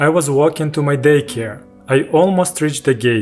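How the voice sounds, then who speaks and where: Music plays behind a man with a Ukrainian accent. His pitch is fairly high, with ordinary pitch variation. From Ukraine. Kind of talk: personal story narration. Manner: slow, with pauses.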